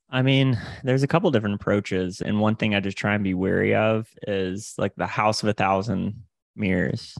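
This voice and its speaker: Over a quiet background, a man with an American accent speaks fairly quickly with ordinary pitch variation, the sound dry and close with no echo. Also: fairly low pitch for a man. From Florida Panhandle, US South. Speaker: sales coach and podcast host. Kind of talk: casual interview.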